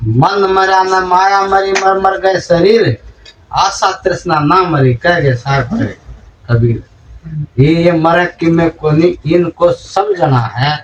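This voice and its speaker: This man speaks with a high pitch and ordinary pitch variation. His loudness stays very even. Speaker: spiritual preacher. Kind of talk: religious sermon.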